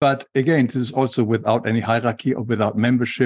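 Against a quiet background, a man is heard in a dry, close sound with no echo. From Germany. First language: German. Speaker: author, illustrator and spiritual teacher. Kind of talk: interview about spirituality.

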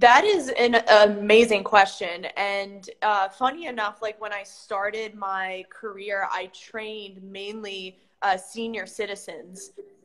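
In a Mid-Atlantic American accent, a woman talks at a medium pitch and a very slow pace, with hardly any pauses. Her intonation is fairly even, though her loudness swings widely. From Maryland, US. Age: 30s. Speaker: strength coach. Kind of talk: casual chat.

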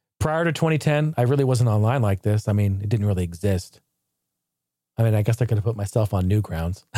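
At a very fast pace, a man speaks with fairly low pitch, lively intonation and a dark, mellow tone. His loudness stays very even on a very clean recording with a silent background. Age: 30s. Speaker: YouTuber and retro gaming podcast host. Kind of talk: solo retrospective monologue. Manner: animated.

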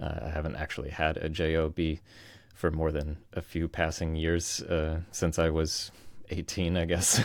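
A man with a very deep, low pitch and an American accent, monotone and flat in intonation, on a very clean recording with a silent background. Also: moderate pace. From US East Coast, Virginia. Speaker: freelancer turned software founder. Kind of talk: interview conversation.

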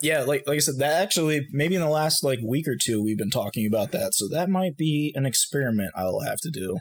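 A man's somewhat breathy, fairly high voice with an American accent, lively intonation, a fairly quick pace and hardly any pauses. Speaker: game designer. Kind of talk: casual chat.

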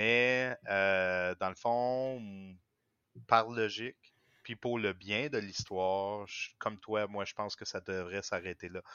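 A fairly low-pitched man at a very slow pace, with fairly even intonation and long, frequent pauses. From Quebec. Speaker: podcast guest. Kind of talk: casual chat.

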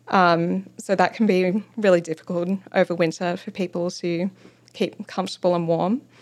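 With an Australian accent, a woman speaks at a moderate pace in a fairly low pitch and monotone, flat intonation. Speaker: local government sustainability planner. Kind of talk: interview.

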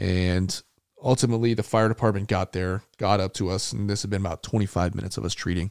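A man with a normal speaking voice talks at a fairly quick pace and a fairly low pitch. His intonation is fairly even, and the sound is dry and close with no echo. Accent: American. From Arizona (Tucson). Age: 30s. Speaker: war veteran. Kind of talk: interview. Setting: at home.

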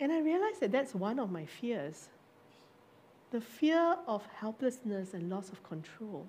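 A woman speaks at a fairly slow pace and a fairly high pitch. Her voice makes very wide pitch swings. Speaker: preacher. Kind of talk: sermon. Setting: church with online audience.

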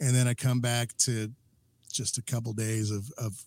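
Somewhat breathy and dry, with a close sound and no echo, a man speaks at medium pitch in a monotone, flat intonation at a fairly slow pace. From New Mexico. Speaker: podcast host and musician. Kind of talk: casual chat. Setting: home studio.

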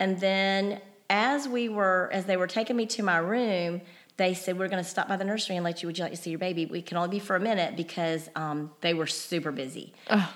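A woman speaks at a very fast pace. Her pitch sits in the medium range. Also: ordinary pitch variation. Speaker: mother of the host. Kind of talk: casual chat.

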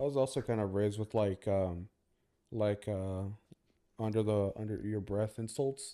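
A quiet man with an American accent speaks at a moderate pace in a dark, mellow tone and a fairly low pitch. His intonation stays fairly even, broken by long, frequent pauses. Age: 20s. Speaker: former podcast co-host. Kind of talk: casual chat. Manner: quieter.

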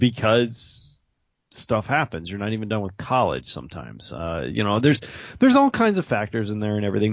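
With a normal speaking voice, a man talks at a fairly quick pace in a fairly low pitch and with lively intonation. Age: middle-aged. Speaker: podcast co-host. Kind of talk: casual chat.

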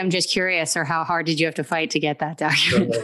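The speaker talks at a very fast pace over noticeable background noise. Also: woman. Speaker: podcast co-host, lawyer. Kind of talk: casual chat.

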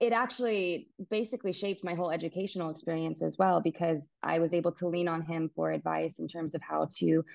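A woman with an American accent has an ordinary speaking voice, fairly low in pitch, moving at a fairly quick pace with fairly even intonation. The sound is dry and close with no echo against a quiet background. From Texas, Dallas. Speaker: bioacoustics researcher. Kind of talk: interview.

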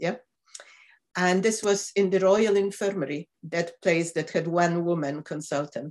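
A woman's fairly low voice with ordinary pitch variation and a Polish accent. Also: fairly slow pace. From Poland. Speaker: professor of medicine. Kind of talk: interview.

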